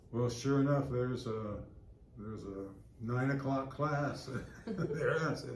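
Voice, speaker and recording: Against noticeable background noise and audible room echo, a man with a medium pitch talks at a fairly slow pace, leaving long, frequent pauses. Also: ordinary pitch variation. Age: 80s+. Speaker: recreation center member. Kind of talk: interview. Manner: halting, many fillers and repeats.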